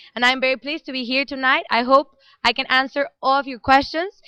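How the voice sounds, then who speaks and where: Against a quiet background, a woman with a Spanish accent talks very fast in a raised, projected voice, her high pitch and bright, sharp tone caught in a dry, close sound with no echo. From Mexico. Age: young. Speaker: international volunteer. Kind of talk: live stream interview. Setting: office with people working, live stream.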